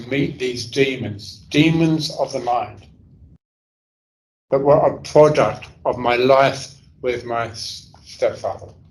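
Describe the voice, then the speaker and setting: Very slowly and somewhat breathily, a man with a London accent speaks at a medium pitch. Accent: London English (Cockney-leaning). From London, England. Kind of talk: talk to an audience.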